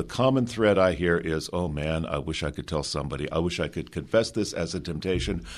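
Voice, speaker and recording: A man talks at a fairly quick pace with hardly any pauses. His very deep, low voice carries vocal fry. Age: 60s. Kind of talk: radio interview.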